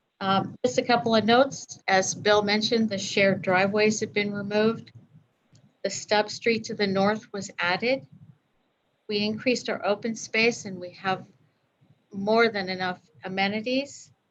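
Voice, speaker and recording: Soft-spoken, a woman talks at a moderate pace, leaving long, frequent pauses. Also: medium pitch for a woman, fairly even intonation. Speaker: applicant's representative at city council. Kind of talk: public hearing presentation. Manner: hesitant, many fillers. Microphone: too quiet, hard to hear.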